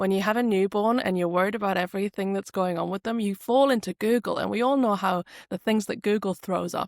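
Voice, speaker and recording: Speaking at a very fast pace with hardly any pauses, a woman with a northeast English accent uses a medium pitch and fairly even intonation, and the sound is dry and close with no echo. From northeast England. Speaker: speech language therapist. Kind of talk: podcast interview.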